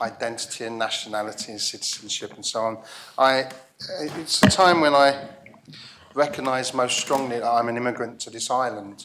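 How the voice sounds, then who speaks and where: A medium-pitched male voice at a moderate pace, with ordinary pitch variation. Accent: London. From England, East London. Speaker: parliament member. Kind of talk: parliamentary debate speech.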